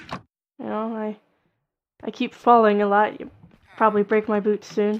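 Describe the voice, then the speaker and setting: A woman's put-on character voice, fairly high-pitched and mumbling, monotone and flat, at a moderate pace with big swings in loudness. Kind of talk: casual, gaming chat.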